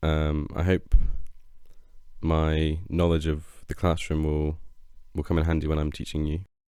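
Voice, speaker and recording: With long, frequent pauses, a man speaks at a fairly slow pace in a very deep, low pitch, using a dark, mellow tone and monotone, flat intonation. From England, Shropshire. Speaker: English teacher. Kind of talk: self-introduction. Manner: hesitant, many fillers.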